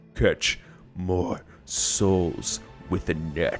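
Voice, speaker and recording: Clear music plays in the background as a man speaks. His put-on character voice is booming and very deep and low. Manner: thunderous.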